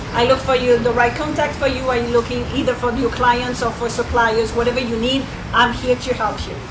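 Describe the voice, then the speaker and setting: A woman speaks at a fairly quick pace in a high, flat monotone, with audible room echo and noticeable background noise. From France. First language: French. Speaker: networking coach. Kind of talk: event talk. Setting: restaurant event with audience.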